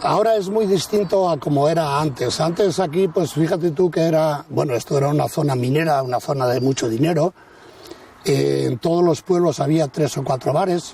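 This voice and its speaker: This man's voice sits at a fairly high pitch with ordinary pitch variation. Noticeable background noise runs behind him. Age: 70s. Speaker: village restaurant owner. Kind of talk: casual interview chat.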